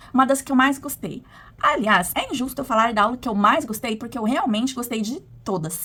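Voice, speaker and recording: Her tone is bright and sharp, with lively intonation. The woman talks at a fairly quick pace. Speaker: postgraduate student. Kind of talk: video presentation of a course assignment. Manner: partly read from a script.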